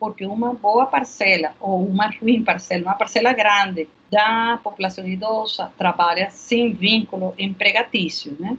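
A woman's medium-pitched voice with a Spanish accent, fairly slow pace, and ordinary pitch variation. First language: Spanish (speaking Portuguese). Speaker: health researcher. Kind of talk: interview. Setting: remote recording.

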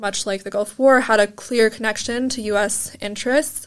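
Her pitch is fairly high, and this woman's intonation stays monotone and flat. She speaks at a fairly quick pace. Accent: American. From United States. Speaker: university student. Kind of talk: casual discussion.

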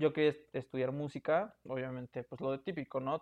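Speaking with a Mexican accent, a man uses a fairly high pitch. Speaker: podcast host. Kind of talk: casual chat.

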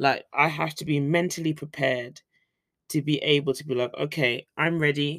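A woman with a very deep, low pitch in a British accent. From Britain. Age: 30s. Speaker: podcast host and teacher in Korea. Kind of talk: casual solo podcast chat. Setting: home recording with microphone.

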